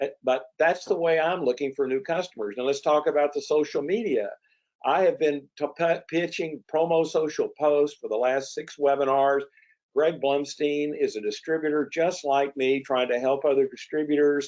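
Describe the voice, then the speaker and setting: In a normal speaking voice, a man talks at a moderate pace with a fairly high pitch. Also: ordinary pitch variation. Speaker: promotional products distributor and webinar host. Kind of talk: webinar presentation. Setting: online webinar.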